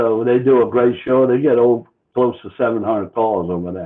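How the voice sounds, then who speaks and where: A man with a New Orleans accent at a moderate pace, medium in pitch, with ordinary pitch variation. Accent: Chalmatian (New Orleans area). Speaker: car club organizer. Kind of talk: casual interview.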